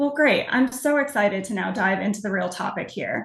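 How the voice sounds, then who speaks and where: The woman's pitch is fairly high. She talks at a fairly quick pace. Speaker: webinar moderator. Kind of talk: webinar moderation. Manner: loud.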